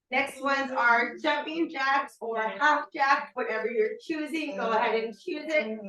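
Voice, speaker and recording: Her voice is raised and projected, high in pitch with ordinary pitch variation. The woman talks at a fairly slow pace with hardly any pauses. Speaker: fitness instructor. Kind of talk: workout class instruction. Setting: virtual class, video. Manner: fewer verbal cues, sparse talk.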